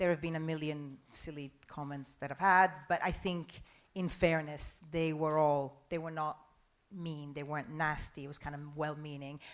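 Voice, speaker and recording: A woman speaks at a moderate pace in a flat monotone with a very deep, low pitch, in a very clean recording with a silent background. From Italy. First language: Italian. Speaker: journalist and news presenter. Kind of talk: conference talk Q&A. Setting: stage with audience.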